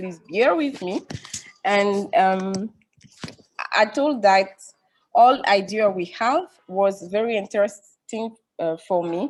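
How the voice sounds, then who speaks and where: Speaking very slowly with long, frequent pauses, a woman with a French accent keeps a medium pitch and ordinary pitch variation. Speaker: family planning professional. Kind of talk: webinar panel discussion. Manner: halting.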